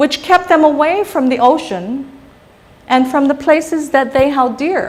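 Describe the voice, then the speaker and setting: The speaker has a Guamanian accent. The tone is animated. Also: woman. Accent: Chamorro Guamanian English. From Guam (Barrigada). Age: 60s. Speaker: psychologist giving a public talk. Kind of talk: lecture.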